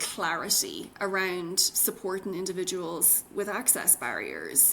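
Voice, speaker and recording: Bright and sharp in tone, a woman with an Irish accent talks at a fairly slow pace, her medium pitch held in fairly even intonation. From Ireland. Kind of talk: interview answer.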